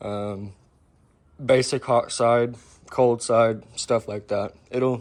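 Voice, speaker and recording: This man speaks at a medium pitch with monotone, flat intonation. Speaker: car enthusiast video maker. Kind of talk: casual vlog walkthrough. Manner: fast; casual, filler-heavy.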